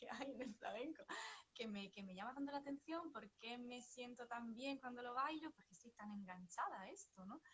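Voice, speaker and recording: With a Sevillian accent, a woman speaks at a moderate pace. Her pitch is high and her intonation lively. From northern Italy, Vicenza. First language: Italian (speaking Spanish). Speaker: psychotherapist and flamenco dancer. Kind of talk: interview. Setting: livestream. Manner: hesitant, many fillers.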